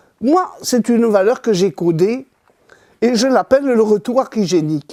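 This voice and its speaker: A woman speaks fairly slowly in a dark, mellow tone at a fairly high pitch. Her intonation is lively and her loudness very even. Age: 80s+. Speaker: author on Kabbalah. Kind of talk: interview explanation.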